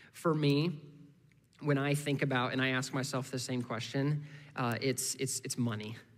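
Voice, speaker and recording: In an American accent, a man speaks at a moderate pace with monotone, flat intonation. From US Midwest (Indiana). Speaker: guest preacher from a missions ministry. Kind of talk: sermon. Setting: church service. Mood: calm, personal, earnest. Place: church. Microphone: headset.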